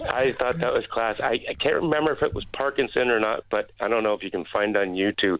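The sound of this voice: A man's medium-pitched voice, fairly bright in tone, fairly even in intonation, at a fairly quick pace.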